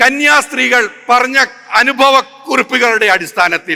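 A man's raised, projected voice with very wide pitch swings. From Kerala, India. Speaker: public speaker, religion critic. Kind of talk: public lecture. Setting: stage with audience. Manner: forceful.

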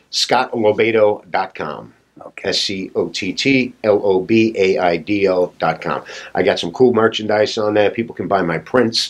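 A man with a New York accent, fairly low in pitch, with ordinary pitch variation and a fairly slow pace. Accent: New York, non-rhotic. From Staten Island, New York. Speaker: patriotic artist; podcast guest. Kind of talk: casual interview. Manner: animated. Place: office.

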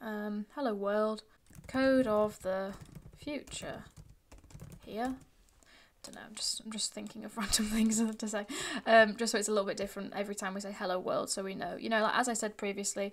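A woman's fairly high voice in a Yorkshire accent, monotone and flat, at a moderate pace, with big swings in loudness and long, frequent pauses. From northern England, Yorkshire. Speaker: programming tutor. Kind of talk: tutorial. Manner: casual, with fillers. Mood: relaxed, self-deprecating. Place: home room.

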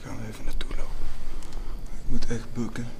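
Speech at a moderate pace, with music playing in the background. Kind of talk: casual vlog commentary. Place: home room. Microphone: phone near.

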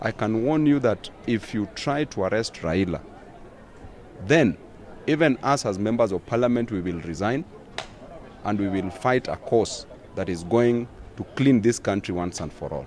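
A man talks at a moderate pace with long, frequent pauses. Crowd noise fills the background, though the sound is dry with no echo. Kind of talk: interview answer. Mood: stern, warning. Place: street. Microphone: handheld.

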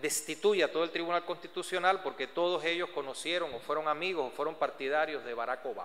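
At a very fast pace, a man with a high pitch talks with ordinary pitch variation. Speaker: speaker. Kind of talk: lecture. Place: hall. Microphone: podium.

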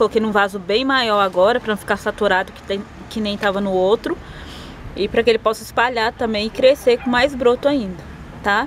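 A woman with a plain, everyday voice speaks at a fairly high pitch with fairly even intonation and big swings in loudness. Light background noise is present. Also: dry sound with no echo. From Brazil. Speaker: gardening youtuber. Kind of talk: tutorial. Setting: at home. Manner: casual. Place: garden. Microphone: phone near.

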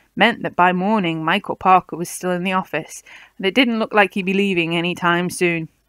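The reading voice is unforced, with fairly even intonation.

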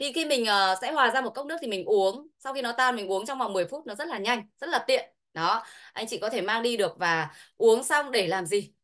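Against a quiet background, a woman speaks at a fairly quick pace with a fairly high pitch and lively intonation. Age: 40s. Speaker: product expert; presenter. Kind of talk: sales pitch. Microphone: video call.

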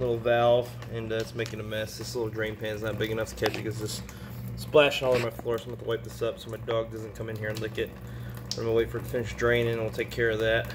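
There is noticeable background noise. A man talks at a very fast pace. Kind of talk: tutorial. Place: garage.

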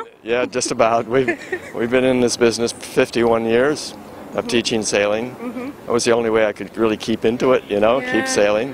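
A man talks fairly quickly at a medium pitch, monotone and flat, with hardly any pauses. The sound is dry with no echo, though background noise is noticeable. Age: 80s+. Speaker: sailor and sailing school owner. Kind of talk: interview answer. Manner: hesitant, casual. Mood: warm, friendly. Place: waterside. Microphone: handheld.

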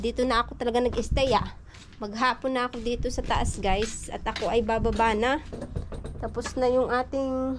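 A high-pitched woman at a moderate pace, monotone and flat, with noticeable background noise. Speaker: garden vlogger. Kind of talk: casual vlog chat. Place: garden. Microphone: phone near.

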